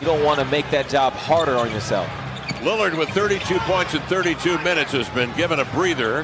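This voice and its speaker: With noticeable noise behind the speech, the delivery runs at a fairly quick clip. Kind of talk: sports commentary. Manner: animated, fast play-by-play delivery.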